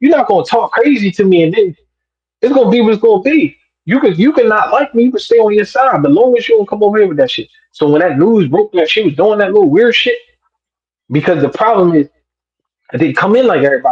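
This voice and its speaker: The voice races along at a very fast pace with very wide pitch swings. Its tone is animated. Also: man, high pitch for a man. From South Jersey. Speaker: battle rapper. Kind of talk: casual interview storytelling.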